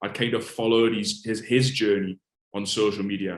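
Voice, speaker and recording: At a moderate pace, a man speaks in a monotone with flat intonation. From northeast England, Alnwick, Northumberland. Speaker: fitness coach. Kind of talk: interview. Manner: casual.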